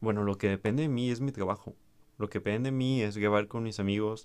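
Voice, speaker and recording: On a very clean recording with a silent background, a man speaks fairly quickly in a Mexican accent. His fairly low voice keeps a fairly even intonation. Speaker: podcaster. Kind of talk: solo monologue reflection. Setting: home recording to camera. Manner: hesitant with repetitions.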